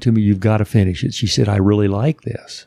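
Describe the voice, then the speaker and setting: A man with an American accent speaks at a fairly quick pace in a dark, mellow tone, with a dry, close sound and no echo. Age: 70s. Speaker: former professional basketball player and author. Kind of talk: casual interview chat. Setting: studio.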